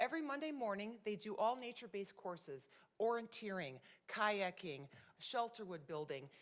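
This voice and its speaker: A woman's animated voice at medium pitch, with very wide pitch swings. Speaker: nonprofit program presenter. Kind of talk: presentation to city council. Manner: fast.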